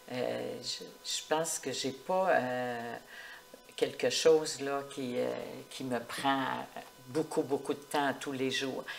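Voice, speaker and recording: Speaking very slowly in a very deep, low pitch, a woman keeps her intonation fairly even and leaves long, frequent pauses. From Quebec, Portneuf region. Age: 70s. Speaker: retired municipal clerk. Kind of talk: interview. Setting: at her home.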